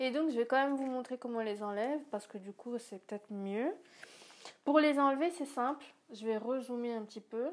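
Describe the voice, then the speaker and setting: Using ordinary pitch variation, a woman speaks in a high pitch with big swings in loudness. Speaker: YouTuber. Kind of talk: casual vlog. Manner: fast.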